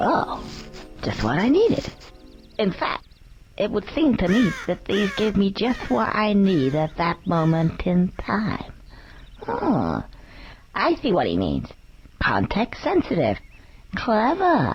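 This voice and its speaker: This put-on character voice sits at a middle pitch and moves at a fairly slow pace. Long pauses come often. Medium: video game. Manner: chatty, cheeky.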